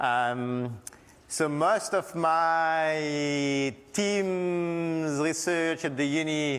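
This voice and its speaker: A man's fairly high voice in a French accent, at a very slow pace with very even loudness, ordinary pitch variation and audible room echo. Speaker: university lecturer and disaster researcher. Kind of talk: lecture. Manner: halting.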